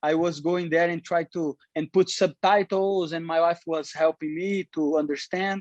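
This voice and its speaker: A high-voiced man at a moderate pace, fairly even in intonation, dry and close with no echo against a quiet background. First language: Portuguese. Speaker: professional MMA fighter. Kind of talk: interview. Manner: halting, many repetitions.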